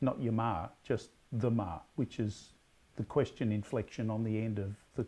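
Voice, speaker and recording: This man has a strong Australian accent. His medium-pitched voice has a dark, mellow tone. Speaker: quiz host. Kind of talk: pub quiz hosting. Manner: halting.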